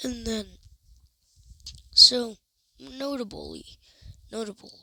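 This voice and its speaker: A woman talks at a very slow pace. Her pitch is fairly high and varies in an ordinary way. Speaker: comic book video creator. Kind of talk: casual video commentary. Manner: halting, frequent restarts.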